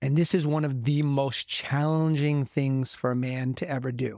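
A man's fairly high voice, plain and everyday with fairly even intonation, comes through dry and close with no echo. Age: 50s. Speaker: men's coach and podcast host. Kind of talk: motivational monologue.

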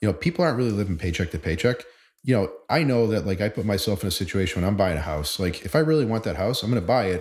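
A man's somewhat breathy, fairly low voice with an American accent, very fast and lively in intonation, on a very clean recording with a silent background. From Boston, Massachusetts. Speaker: mortgage loan originator. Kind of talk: casual interview chat.

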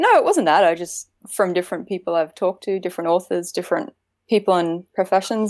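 Moderate pace and fairly even intonation on a very clean recording with a silent background. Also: woman. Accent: Australian. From Australia, Queensland. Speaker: author. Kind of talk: casual chat.

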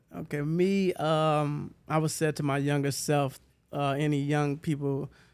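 A man with an American accent speaks in a fairly high pitch for a man, his intonation monotone and flat, on a very clean recording with a silent background. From Huntsville, Alabama. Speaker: cleaning company owner. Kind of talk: casual chat.

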